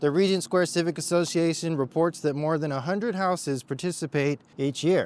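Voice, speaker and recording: Using hardly any pauses, a man with a normal speaking voice talks at a fairly quick pace, his pitch fairly high with ordinary variation. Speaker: real estate agent giving neighborhood tour. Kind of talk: walking tour vlog. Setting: outdoors walking along a busy road.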